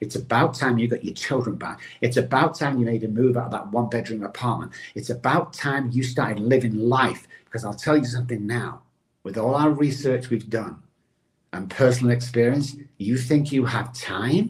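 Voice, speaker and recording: With an American accent, a man speaks at a moderate pace in a medium-pitched, somewhat breathy voice. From England (Manchester). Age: 60s. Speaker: addiction recovery expert. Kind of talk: motivational interview talk. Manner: animated.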